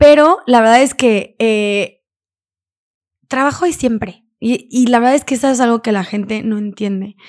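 A woman with a fairly high voice talks fairly slowly, her pitch varying in an ordinary way. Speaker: entrepreneur and podcaster. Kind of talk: casual interview. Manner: talkative.

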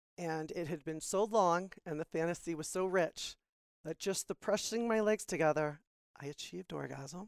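A woman with an American accent and an unremarkable speaking voice talks fairly low at a moderate pace with ordinary pitch variation, in a dry, close sound with no echo. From Florida. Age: 40s. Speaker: podcast guest. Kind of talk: casual chat.

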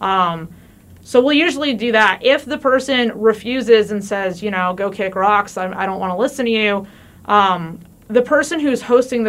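This woman has a plain, everyday voice with an American accent. Her pitch is medium, with ordinary pitch variation. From New Jersey. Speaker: police officer. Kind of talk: interview. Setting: studio.

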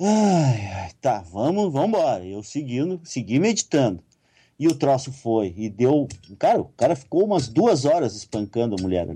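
In a quiet background, a man speaks at a moderate pace in a medium pitch with very wide pitch swings. His tone is dark and mellow, and somewhat breathy. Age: 50s. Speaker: writer and occultist. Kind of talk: interview.

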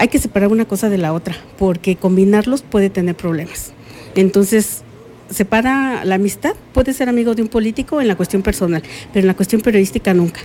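A woman talks at a fairly quick pace and medium pitch, with ordinary pitch variation. Noticeable background noise is present. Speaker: journalist. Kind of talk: interview. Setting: recorded interview.

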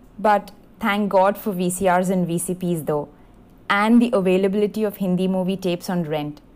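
A woman with an ordinary speaking voice talks at a moderate pace and medium pitch with fairly even intonation. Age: young. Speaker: fan contributor. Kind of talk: prepared birthday tribute monologue.

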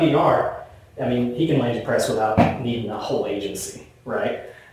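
There is noticeable background noise and audible room echo. A man talks with an American accent and ordinary pitch variation. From US South. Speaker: marketing executive. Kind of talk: conference presentation. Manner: casual, conversational.

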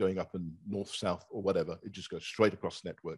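Against a quiet background, a man with an unremarkable speaking voice and fairly low pitch talks with fairly even intonation, the sound dry and close with no echo. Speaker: telecom executive panelist. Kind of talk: panel discussion.

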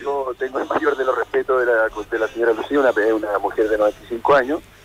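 A man's medium-pitched voice, dry and close with no echo, over noticeable background noise. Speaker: lawyer. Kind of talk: radio interview.

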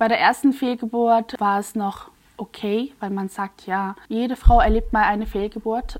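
A woman pitched fairly high talks in an ordinary speaking voice, with ordinary pitch variation. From Switzerland, near Basel. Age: 30s. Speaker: influencer and mother. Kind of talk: personal testimony.

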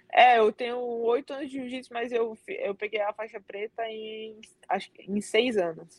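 A strong Cearense accent at a fairly slow pace, with ordinary pitch variation and big swings in loudness, in a dry, close sound with no echo. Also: woman, fairly high pitch for a woman. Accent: Cearense (Ceará) accent, strong. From Brazil, Northeast (Fortaleza, Ceará). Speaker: Brazilian jiu-jitsu athlete. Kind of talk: interview.

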